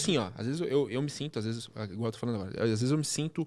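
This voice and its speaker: Here a man speaks at medium pitch with lively intonation. The recording is very clean, with a silent background. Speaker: podcast host. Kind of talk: interview podcast conversation. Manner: animated, fast when excited.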